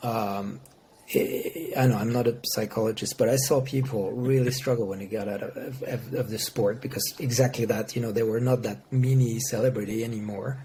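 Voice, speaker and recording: With a French accent, a man speaks at a medium pitch and a moderate pace. His intonation is fairly even, and there is noticeable background noise. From France. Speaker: motorsport sponsorship executive. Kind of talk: podcast interview. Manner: halting.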